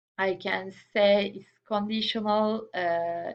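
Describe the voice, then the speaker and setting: A woman speaks with a non-native accent over a quiet background. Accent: non-native English accent, self-noted. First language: not English. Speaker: student presenter. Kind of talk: class presentation. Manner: halting, many repetitions and fillers.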